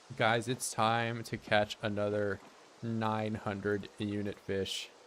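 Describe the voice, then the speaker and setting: A man's fairly low-pitched voice, monotone with flat intonation, at a very slow pace. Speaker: gaming streamer. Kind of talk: casual chat.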